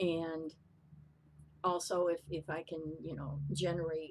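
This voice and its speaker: Vocal fry runs through the voice. The intonation stays fairly even. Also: woman. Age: 60s. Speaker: vlogger and skincare consultant. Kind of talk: casual chat. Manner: halting, many fillers and repeats.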